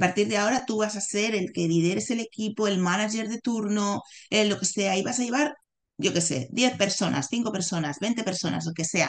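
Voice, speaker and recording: This is a plain, everyday voice from a woman at a medium pitch. She keeps a moderate pace with ordinary pitch variation. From Barcelona, Spain. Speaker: executive coach. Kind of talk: interview conversation.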